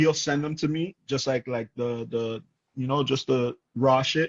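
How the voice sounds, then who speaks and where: Speaking at a moderate pace with fairly even intonation, this voice carries a strong Toronto accent. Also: man. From Toronto, Canada. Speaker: rapper. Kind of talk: casual chat.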